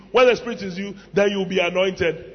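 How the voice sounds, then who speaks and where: A man speaks in an animated tone. Noticeable background noise sits behind him. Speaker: preacher. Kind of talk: sermon. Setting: church with audience. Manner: animated, humorous.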